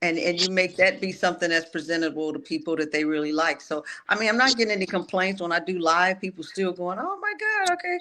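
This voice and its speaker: A woman's medium-pitched voice at a very fast pace with hardly any pauses and ordinary pitch variation, against noticeable background noise. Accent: American. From Flint, Michigan. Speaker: singer. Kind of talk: interview.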